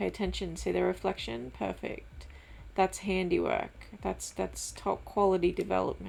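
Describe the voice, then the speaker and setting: A quiet woman speaks at a fairly slow pace. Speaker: gaming YouTuber. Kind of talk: let's play commentary.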